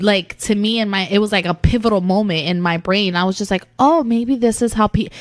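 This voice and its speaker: A woman talks in an animated tone, her fairly high voice showing ordinary pitch variation. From Puerto Rico, moved to New York as a child. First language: Spanish. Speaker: comedy podcast co-host. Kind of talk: casual chat.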